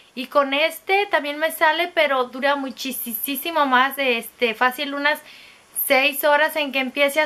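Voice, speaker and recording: A woman's high-pitched, raised and projected voice at a fairly slow pace. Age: 30s. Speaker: beauty vlogger. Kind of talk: product review monologue. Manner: casual, filler-heavy. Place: home room. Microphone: phone near.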